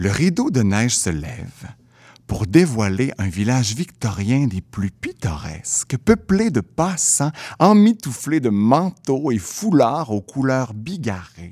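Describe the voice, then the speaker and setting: In a Quebec accent, a man speaks very slowly at a medium pitch with a dark, mellow tone and very wide pitch swings, on a very clean recording with a silent background. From Quebec City. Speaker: theatre creator and storyteller. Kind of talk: storytelling.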